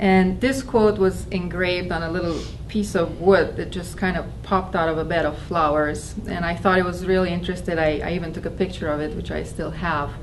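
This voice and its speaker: A woman with a non-native accent and a fairly low pitch talks at a fairly quick pace with fairly even intonation. Noticeable background noise and audible room echo surround her. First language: not English. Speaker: spiritual talk speaker. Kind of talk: personal testimony talk. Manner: halting, with fillers.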